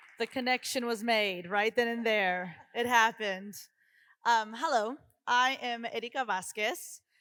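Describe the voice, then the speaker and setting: In an American accent, the speaker talks at a fairly slow pace with a bright, sharp tone and ordinary pitch variation, on a very clean recording with a silent background. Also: woman, fairly high pitch for a woman. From Oklahoma City. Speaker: school administrator. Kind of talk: panel discussion.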